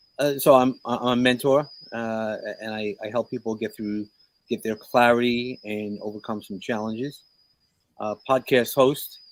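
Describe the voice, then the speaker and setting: In a New York accent, a man talks at a fairly slow pace with long, frequent pauses. His intonation stays fairly even. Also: big swings in loudness. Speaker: mentor and podcast host. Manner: hesitant, many fillers.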